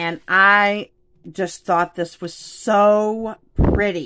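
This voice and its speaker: Against a quiet background, a woman speaks at a medium pitch in a bright, sharp, animated tone. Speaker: craft YouTuber. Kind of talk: casual unboxing video. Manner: animated, excitable. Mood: excited, playful. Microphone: phone near.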